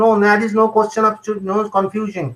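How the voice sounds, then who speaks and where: A man with a Bengali accent, high pitch, fairly even intonation and a fairly quick pace. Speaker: homeopathic doctor. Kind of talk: lecture with Q&A. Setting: live online webinar. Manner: halting, repetitive.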